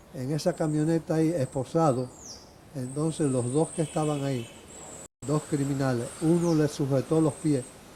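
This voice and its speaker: At a moderate pace, a man speaks with a fairly high pitch, a dark, mellow tone, a somewhat breathy quality and fairly even intonation. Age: 70s. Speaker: retired lawyer and law teacher. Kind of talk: interview testimony. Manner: halting.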